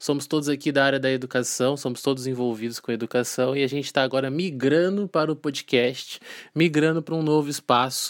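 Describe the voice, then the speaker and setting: On a very clean recording with a silent background and a dry, close sound with no echo, a man speaks very fast in a fairly high voice with fairly even intonation. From Volta Redonda, interior of Rio de Janeiro state, Brazil. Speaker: teacher, podcast host. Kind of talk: casual chat. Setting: studio.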